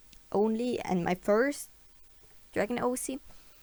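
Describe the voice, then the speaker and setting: Fairly slow speech in a non-native accent. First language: not English. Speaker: digital artist. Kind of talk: tutorial voiceover. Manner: halting, many fillers; unscripted.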